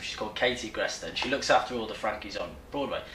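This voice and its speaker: Audible room echo and noticeable background noise surround the voice. It belongs to a man with a Newcastle accent. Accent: Newcastle (Geordie). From Newcastle, northern England. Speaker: musical theatre actor. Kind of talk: casual interview. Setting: backstage dressing room.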